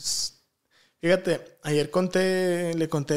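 A man speaks in a high pitch. His intonation is monotone and flat. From Guadalajara, Mexico. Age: 20s. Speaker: professional footballer; podcast guest. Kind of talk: casual interview, life story. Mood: reflective, personal storytelling. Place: studio. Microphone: studio mic.

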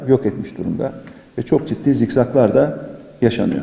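This man talks at a fairly quick pace. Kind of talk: press statement. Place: meeting room. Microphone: podium.

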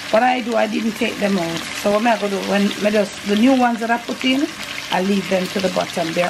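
With background noise clearly audible, a woman talks fairly quickly. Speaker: home cook vlogger. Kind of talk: casual cooking vlog chat. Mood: relaxed, amused. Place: kitchen.

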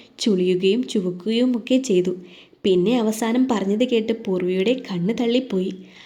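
Ordinary pitch variation marks this plain reading aloud.

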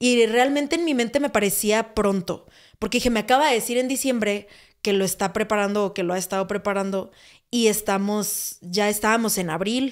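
In a normal speaking voice, a woman with a fairly high pitch speaks at a moderate pace with ordinary pitch variation, on a very clean recording with a silent background. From Mexico, Sonora (Hermosillo). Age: 20s. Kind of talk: casual testimony chat.

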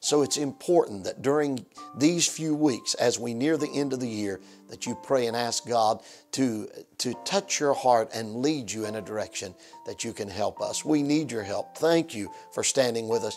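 At a moderate pace with ordinary pitch variation, the voice comes over faint music in the background. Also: man. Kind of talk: fundraising appeal to viewers. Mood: warm, earnest. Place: studio. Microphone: lapel.

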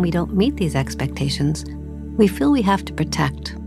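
Over music in the background, a woman speaks in a calm tone. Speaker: meditation guide. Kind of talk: guided meditation. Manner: calm, slow.

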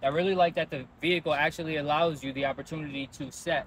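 A man talking very fast with fairly even intonation, a dry sound with no echo and light background noise. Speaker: car dealership sales manager. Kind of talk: tutorial. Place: street. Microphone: lapel.

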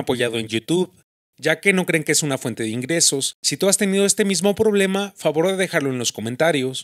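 Talking very fast with lively intonation, a man with a Mexican accent has a fairly high pitch, and the sound is dry and close with no echo. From Mexico, Michoacán. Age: 20s. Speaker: YouTuber. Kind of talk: casual vlog monologue.

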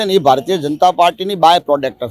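Ordinary pitch variation in a man's high voice. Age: young. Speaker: voter interviewed on the street. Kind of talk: street interview.

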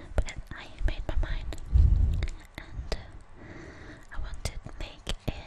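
Whispering with long pauses that come often, a woman goes at a fairly slow speed. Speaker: ASMR creator. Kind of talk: ASMR show and tell. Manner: softly whispered. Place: kitchen. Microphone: webcam.

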